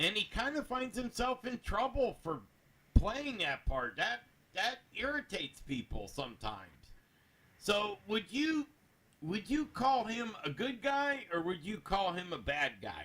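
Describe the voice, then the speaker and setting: Using a raised, projected voice, a man talks at a fairly slow pace with a high pitch, very wide pitch swings and a bright, sharp tone. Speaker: anime review show co-host. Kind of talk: casual discussion. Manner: loud.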